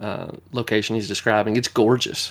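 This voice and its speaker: A man with a Southern US accent, fairly low-pitched, at a fairly quick pace and with monotone, flat intonation. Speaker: podcast host. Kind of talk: casual chat.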